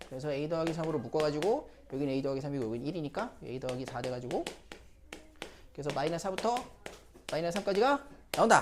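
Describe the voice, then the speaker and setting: The speech moves at a very fast pace. Long pauses come often. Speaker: math tutor. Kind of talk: lecture.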